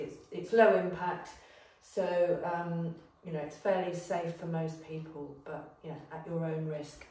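Fairly slow speech from a woman, with audible room echo. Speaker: fitness instructor. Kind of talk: workout class intro. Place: gym. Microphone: camera far.

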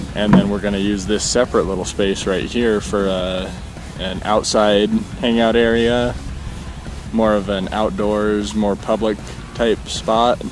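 Over clear background music, a man talks at a fairly slow pace. His intonation is fairly even, and the sound is dry with no echo. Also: fairly low pitch for a man. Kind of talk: casual vlog chat. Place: open country. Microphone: phone near.

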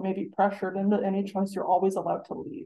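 Over some light background noise, a woman talks fairly quickly. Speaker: presenter. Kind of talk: lecture. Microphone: video call.

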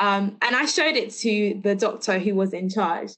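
Against a quiet background, a woman with a London accent speaks at a moderate pace. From London, England. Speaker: teacher and lecture speaker. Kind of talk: lecture. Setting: video call. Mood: personal, earnest, somewhat somber. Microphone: video call.

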